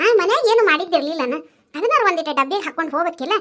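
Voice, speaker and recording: A woman does a squeaky, cartoonish character voice at an extremely high pitch, rattling along at a very fast pace with lively intonation. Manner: chiding, instructive.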